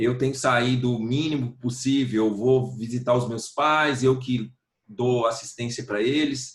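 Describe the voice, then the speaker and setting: A man's somewhat breathy, medium-pitched voice at a fairly slow pace, flat and monotone in intonation. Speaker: singer-songwriter. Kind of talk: interview answer.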